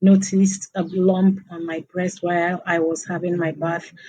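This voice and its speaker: A woman speaks with a dark, mellow tone at a fairly low pitch. Her intonation is monotone and flat. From eastern Nigeria. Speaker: cancer survivor and advocate. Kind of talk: interview testimony. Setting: remote call.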